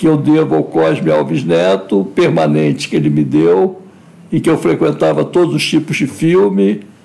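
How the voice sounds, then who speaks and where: A man's very deep, low voice with very wide pitch swings and very even loudness. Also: moderate pace. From Brazil, Rio de Janeiro. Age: 60s. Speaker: filmmaker. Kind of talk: interview. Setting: live stream.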